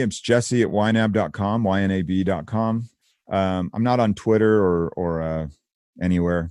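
A very clean recording with a silent background, featuring an unremarkable speaking voice, ordinary pitch variation, and a moderate pace. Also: man. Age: 30s. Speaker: software company founder and author. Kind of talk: interview.

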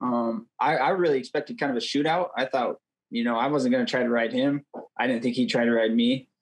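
With an ordinary speaking voice, a man talks at a fairly quick pace and medium pitch, his intonation fairly even and his loudness very even. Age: 20s. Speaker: wrestler and coach. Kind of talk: interview.

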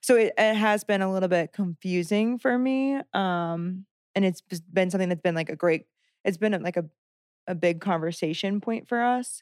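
In an American accent, a woman of medium pitch speaks at a moderate pace with ordinary pitch variation and an unremarkable speaking voice, recorded very cleanly against a silent background with a dry, close sound with no echo. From rural Southern Illinois. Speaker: former lay missionary, engaged. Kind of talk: casual interview chat.

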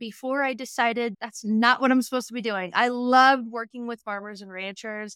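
In an American accent, a woman speaks at a fairly quick pace with a fairly high pitch, a bright, sharp tone and an energetic delivery. Her loudness swings widely, and the sound is dry and close with no echo on a very clean recording with a silent background. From Western Montana, US. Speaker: business and marketing coach. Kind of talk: interview.

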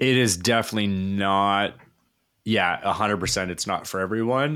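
In a very clean recording with a silent background, a man with a Canadian accent speaks at a moderate pace with ordinary pitch variation in a normal speaking voice. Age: 40s. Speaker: chef and baking professor. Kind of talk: casual interview.

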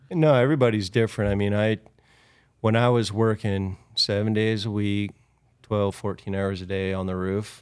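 With an American accent, a man in an unremarkable speaking voice talks at a fairly low pitch with fairly even intonation and a moderate pace, on a very clean recording with a silent background. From California. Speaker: roofing company owner. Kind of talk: casual interview.

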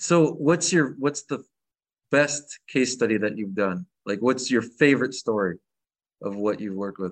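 A man with a plain, everyday voice and an American accent speaks at a moderate pace and medium pitch with lively intonation over a quiet background. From Michigan. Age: 40s. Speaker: podcast host. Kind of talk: podcast interview.

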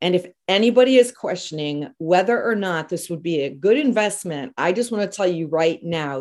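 A woman with a medium pitch and lively intonation talks in a normal speaking voice. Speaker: podcast host. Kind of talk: casual interview.

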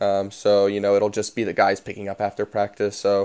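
This speaker has an American accent and a dark, mellow tone. The pace is fairly quick. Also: man. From US South, Tennessee. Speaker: professional soccer player. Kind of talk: casual interview. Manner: hesitant, many fillers.

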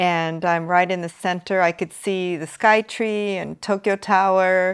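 In a Californian accent, a woman speaks at a fairly slow pace with a medium pitch and ordinary pitch variation. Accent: Californian American English. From US, Los Angeles. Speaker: beauty school principal. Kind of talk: interview. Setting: remote call.

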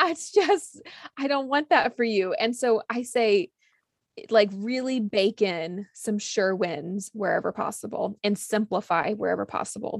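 The woman has an ordinary speaking voice, fairly high in pitch, with lively intonation at a fairly slow pace. The sound is dry and close, with no echo. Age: 30s. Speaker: cookbook author. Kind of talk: casual chat.

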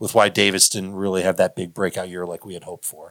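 A man with an American accent and a bright, sharp tone at a very fast pace, on a very clean recording with a silent background. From Chicago. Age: 40s. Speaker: fantasy football analyst. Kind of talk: casual interview.

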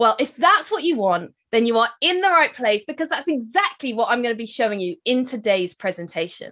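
In a British accent, a woman speaks at a fairly quick pace with hardly any pauses, her fairly high, bright, sharp voice swinging very widely in pitch. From UK. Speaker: wedding business marketing expert and speaker. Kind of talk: keynote presentation and podcast intro.

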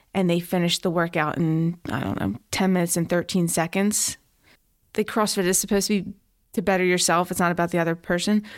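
An ordinary speaking voice, a woman with an American accent, fairly low pitch, fairly even intonation and a fairly quick pace, on a very clean recording with a silent background. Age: 30s. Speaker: police officer. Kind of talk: casual chat.

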